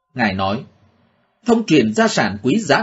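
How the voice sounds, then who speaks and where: A man speaks with vocal fry. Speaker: religious news reader. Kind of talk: news reading.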